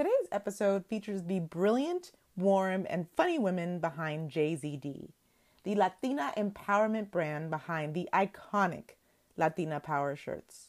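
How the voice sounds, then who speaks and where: In a very clean recording with a silent background, a woman with an unremarkable speaking voice talks with lively intonation. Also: medium pitch for a woman, moderate pace. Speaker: podcast host. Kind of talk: sales pitch, ad read.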